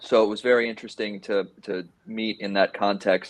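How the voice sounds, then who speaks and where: Here a man with an American accent talks in a normal speaking voice. His pitch is medium and his pace moderate. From Miami, Florida. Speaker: AI division director. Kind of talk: panel discussion.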